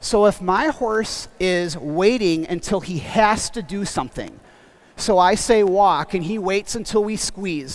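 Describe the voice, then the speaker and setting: Here a man speaks with a high pitch. His pace is fairly slow. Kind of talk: live demonstration lecture. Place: hall. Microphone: headset.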